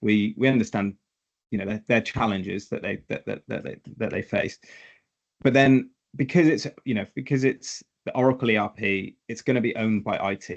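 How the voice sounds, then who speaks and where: Speaking with a British accent at a moderate pace, a man has a medium pitch and ordinary pitch variation. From Britain. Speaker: tax software consultant. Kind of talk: webinar interview. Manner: hesitant, many repetitions.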